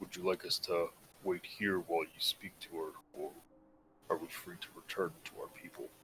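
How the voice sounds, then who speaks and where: Putting on a character voice, a man talks at a moderate pace with long, frequent pauses and big swings in loudness. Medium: actual play. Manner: polite, earnest.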